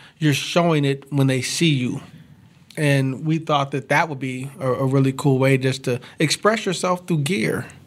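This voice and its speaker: This speaker has a plain, everyday voice and an American accent. The pace is moderate and the intonation fairly even. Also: man, fairly high pitch for a man. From Kansas, Topeka. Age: 40s. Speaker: apparel business owner. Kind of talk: casual interview.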